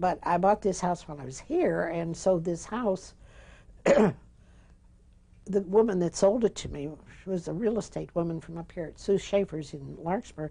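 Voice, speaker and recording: Her voice fairly low and dark, mellow in tone with vocal fry, a woman talks at a moderate pace with long, frequent pauses, big swings in loudness and ordinary pitch variation. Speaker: interviewee. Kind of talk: oral history interview. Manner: halting.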